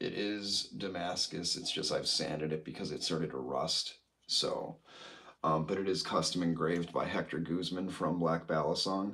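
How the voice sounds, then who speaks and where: With fairly even intonation, a man speaks in a very deep, low pitch. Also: moderate pace. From Illinois. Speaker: knife collector and balisong flipper. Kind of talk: casual livestream chat. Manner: casual, filler-heavy.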